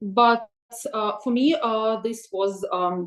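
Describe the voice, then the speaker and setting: A woman speaks in a Russian accent. Her pitch is fairly high, with ordinary pitch variation. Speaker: webinar presenter on AI tools for teachers. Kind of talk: webinar presentation. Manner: hesitant, many filler sounds.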